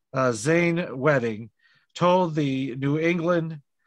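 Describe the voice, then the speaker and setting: A man speaks with a normal speaking voice at a fairly slow pace. His pitch varies in an ordinary way over a quiet background. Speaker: podcast host and pastor. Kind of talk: casual chat.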